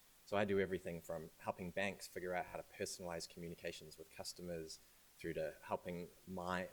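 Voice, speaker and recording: Very deep and low, a man's voice carries a New Zealand accent. He speaks at a fairly quick pace with monotone, flat intonation. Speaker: AI and data science consultant. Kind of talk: talk at a launch event. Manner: hesitant, with fillers and repeated words.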